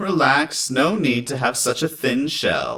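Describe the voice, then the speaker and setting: Putting on a character voice, a man talks at a fairly slow pace with a fairly high pitch and ordinary pitch variation. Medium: read story. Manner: casual, easygoing.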